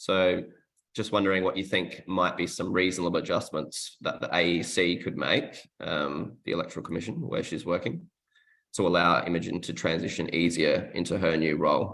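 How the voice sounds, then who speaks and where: A man with an Australian accent speaks with a very deep, low pitch, a moderate pace and fairly even intonation. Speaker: workshop presenter. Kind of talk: workshop presentation. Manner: hesitant, many fillers.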